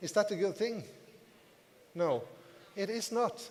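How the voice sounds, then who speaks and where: A moderate pace with a non-native accent. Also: man. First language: not English. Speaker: network marketing distributor, motivational speaker. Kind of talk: business seminar talk to audience. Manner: repetitive, emphatic.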